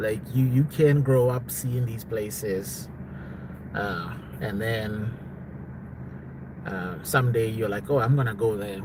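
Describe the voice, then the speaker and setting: Audible room echo carries a man's voice as he talks at a fairly slow pace with ordinary pitch variation. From South Africa. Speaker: live streamer. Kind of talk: casual live stream chat. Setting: live stream at home.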